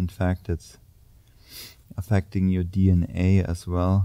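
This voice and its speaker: In a quiet background, a man with a very deep, low pitch speaks at a very slow pace, his tone warm, dark and mellow, his intonation monotone and flat. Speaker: yoga instructor. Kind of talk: guided yoga class with spoken cues. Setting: gym studio, filmed video. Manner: calm, steady, instructional; warm, encouraging, grounding. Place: gym.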